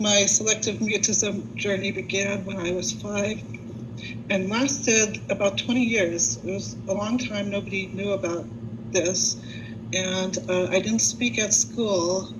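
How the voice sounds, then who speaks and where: A woman speaks at a fairly slow pace with very wide pitch swings, heard through audible room echo and noticeable background noise. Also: medium pitch for a woman. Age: 60s. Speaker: concert pianist and college professor. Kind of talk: panel testimony. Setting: video call.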